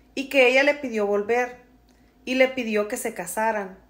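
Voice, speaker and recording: This woman speaks at a moderate pace in a fairly high pitch. Her tone is warm and animated. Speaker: storyteller. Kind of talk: storytelling, reading a follower's personal story aloud in first person. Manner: warm, conversational, empathetic and animated. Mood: dramatic, gossipy storytelling. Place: home room. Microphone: phone near.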